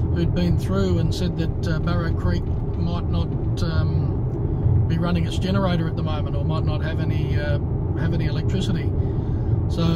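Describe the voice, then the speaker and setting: Loud background noise behind a man going at a moderate pace. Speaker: road trip vlogger driving. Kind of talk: casual vlog chat. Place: car. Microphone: phone near.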